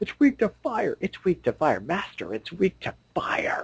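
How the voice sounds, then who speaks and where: Pitched high, a man puts on a character voice. He talks at a moderate pace. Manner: screaming, insistent, repeating.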